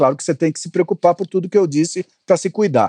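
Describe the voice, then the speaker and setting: Recorded dry and close with no echo, a man speaks very fast in a high pitch. His tone is dark and mellow, with ordinary pitch variation. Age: 60s. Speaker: communications consultant and investor. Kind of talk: interview conversation.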